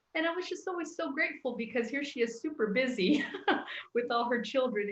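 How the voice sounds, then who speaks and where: A woman with an American accent, lively in intonation and fairly quick in pace. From Texas. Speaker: church youth ministry worker. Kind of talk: casual chat. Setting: live stream. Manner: halting.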